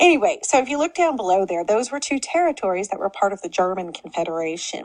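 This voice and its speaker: Over noticeable background noise, a woman with an Oklahoma accent speaks very fast at medium pitch with very wide pitch swings. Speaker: history teacher. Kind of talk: lecture. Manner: casual, conversational.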